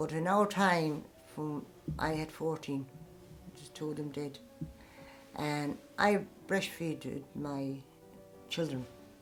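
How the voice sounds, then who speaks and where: The speech moves at a very slow pace, with long, frequent pauses and ordinary pitch variation. Music plays in the background, and the loudness swings widely. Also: woman, very deep, low pitch for a woman. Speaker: Traveller great-grandmother. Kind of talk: interview answer.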